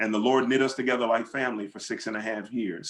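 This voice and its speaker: This is a man with a normal speaking voice. His pitch is medium and his intonation fairly even. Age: 60s. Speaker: pastor and author. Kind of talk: panel discussion Q and A. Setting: video call.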